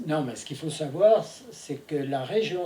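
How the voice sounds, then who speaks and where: A man's fairly high-pitched voice with lively intonation over noticeable background noise. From France, Saint-Étienne. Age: 80s+. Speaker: interviewee, wartime childhood witness. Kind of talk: testimony.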